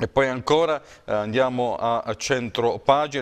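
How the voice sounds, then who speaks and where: At a fairly slow pace, a man speaks in a medium-pitched voice with fairly even intonation. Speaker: TV news presenter. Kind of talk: press review. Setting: studio. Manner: hesitant, many fillers.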